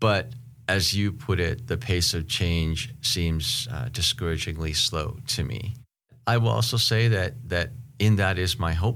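In a normal speaking voice, a man speaks at a fairly low pitch with ordinary pitch variation. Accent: American. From Seattle, US Pacific Northwest. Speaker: podcast host and professor. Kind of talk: casual interview conversation.

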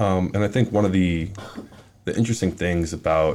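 An American accent from a man with a very deep, low pitch, moderate pace and fairly even intonation. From Minneapolis, Minnesota. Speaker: college football player. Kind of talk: interview.

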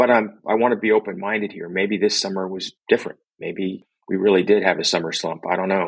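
A man with a normal speaking voice talks at a fairly quick pace with hardly any pauses, his pitch fairly low. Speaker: company executive. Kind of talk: interview.

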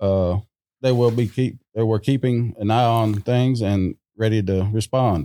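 A normal speaking voice at a fairly slow pace, with ordinary pitch variation and a dry, close sound with no echo. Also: man. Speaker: construction superintendent. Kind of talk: casual panel discussion.

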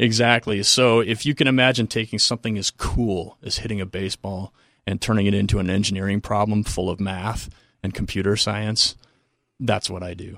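This man has a plain, everyday voice, fairly low in pitch, with fairly even intonation at a fairly quick pace. The recording is very clean, with a silent background. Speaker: exercise science professor. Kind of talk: casual interview. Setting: studio.

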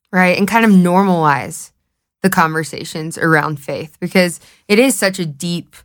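The speech comes at a fairly slow pace in a Southern US accent, with fairly even intonation. The recording is very clean, with a silent background. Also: woman. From US South, Knoxville, Tennessee. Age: 20s. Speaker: podcast host. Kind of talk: casual chat.

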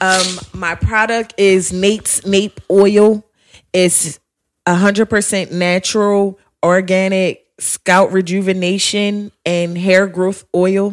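A woman's very slow, monotone speech at medium pitch, flat in intonation. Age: 20s. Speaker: cosmetologist and beauty studio owner. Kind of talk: casual chat.

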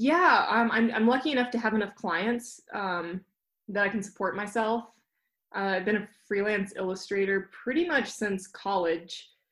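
A woman's medium-pitched voice with a Mountain West accent, ordinary pitch variation and a moderate pace, in a very clean recording with a silent background. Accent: American, Mountain West. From Jackson Hole, Wyoming. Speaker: mountain runner and illustrator. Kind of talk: casual interview chat.

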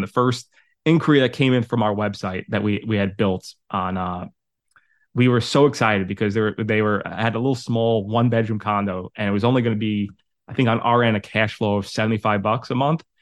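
This man talks at a very fast pace. His pitch is fairly low and his intonation fairly even. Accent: New York. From New York City, Staten Island. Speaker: property management coach. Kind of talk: interview.

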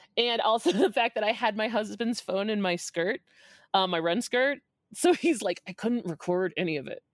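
The delivery is animated, with lively intonation at a moderate pace. The sound is dry and close, with no echo. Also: woman. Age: 40s. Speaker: runner telling a race story. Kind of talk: casual chat.

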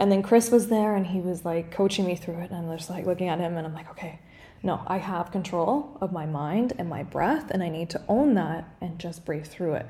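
A woman talks at a fairly quick pace with ordinary pitch variation. Hers is a normal speaking voice, fairly low in pitch. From Canada. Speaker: podcast co-host, breathwork facilitator. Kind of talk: casual interview.

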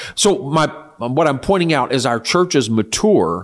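This man has an unremarkable speaking voice. He talks fairly slowly with lively intonation. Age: 60s. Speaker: church leader. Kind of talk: interview.

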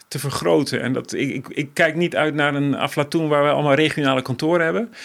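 This man has an ordinary speaking voice, fairly high in pitch, moving at a fairly quick pace with ordinary pitch variation. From various developing countries. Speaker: NGO director. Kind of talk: interview.

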